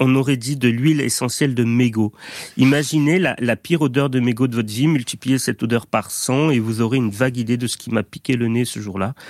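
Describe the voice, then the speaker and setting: A man's unremarkable speaking voice, medium in pitch, with fairly even intonation and a fairly quick pace. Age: 30s. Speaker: doctor and radio columnist. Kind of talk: radio chronicle.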